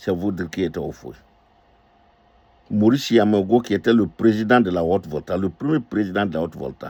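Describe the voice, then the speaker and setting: In a West African accent, a man speaks in a fairly low pitch with an animated tone and ordinary pitch variation. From northern Côte d'Ivoire. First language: Dioula (speaking French). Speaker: political commentator. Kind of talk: political commentary monologue. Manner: animated, emphatic with repetitions; hesitant fillers.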